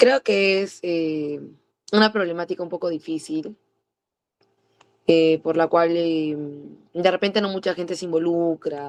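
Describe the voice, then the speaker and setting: A woman's fairly low voice, fairly slow and broken by long, frequent pauses, with ordinary pitch variation and a dry, close sound free of echo. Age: 20s. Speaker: preschool teacher. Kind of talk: interview. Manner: halting, many fillers and restarts.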